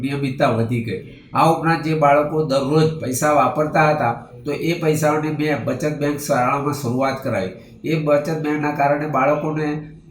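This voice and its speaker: With audible room echo and noticeable background noise, a man speaks at a fairly high pitch with fairly even intonation. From Dahod district, Gujarat, India. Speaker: primary school head teacher. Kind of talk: testimony. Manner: formal.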